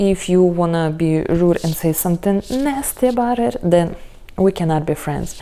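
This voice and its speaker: Against noticeable background noise, a woman with a non-native accent talks at a moderate pace, her fairly low voice full of lively intonation. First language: not English. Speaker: tarot reader. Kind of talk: tarot reading video. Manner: casual, hesitant with fillers.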